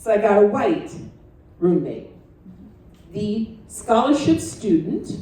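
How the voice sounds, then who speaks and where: Over noticeable background noise and audible room echo, a woman speaks loudly at a very slow pace, her fairly high pitch swinging very widely. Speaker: retired family physician and guest speaker. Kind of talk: talk to a student audience. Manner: dramatic, animated.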